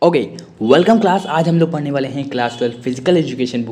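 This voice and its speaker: Speech at a fairly quick pace with ordinary pitch variation comes through audible room echo and noticeable background noise. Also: man. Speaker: online teacher. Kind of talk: lecture. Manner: fast.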